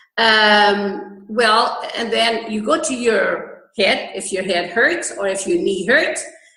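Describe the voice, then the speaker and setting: A woman at a very slow pace and fairly high pitch, with lively intonation, hardly any pauses and audible room echo. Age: 60s. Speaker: holistic healer and health food store owner. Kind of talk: interview. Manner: halting.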